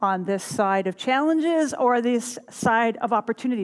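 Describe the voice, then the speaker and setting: High pitch for a woman, with pitch that varies in an ordinary way. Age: 60s. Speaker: minister. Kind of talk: sermon. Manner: animated.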